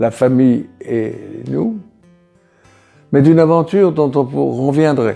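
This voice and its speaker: Music plays in the background as a man speaks very slowly. His pitch varies in an ordinary way. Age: 80s+. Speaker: Algerian War veteran. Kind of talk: interview answer. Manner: hesitant, reflective.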